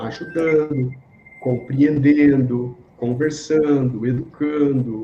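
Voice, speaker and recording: There is noticeable background noise behind this man. His fairly high voice keeps a fairly even intonation. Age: 60s. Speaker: yoga and reiki teacher, speaker. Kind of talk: interview.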